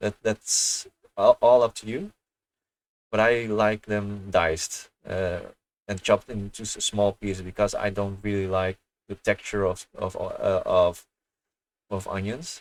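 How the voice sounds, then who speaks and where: Soft-spoken and at a fairly slow pace, a man talks with long, frequent pauses in a very clean recording with a silent background and a dry, close sound with no echo. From Netherlands. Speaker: gaming streamer. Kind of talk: casual chat. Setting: livestream. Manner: halting.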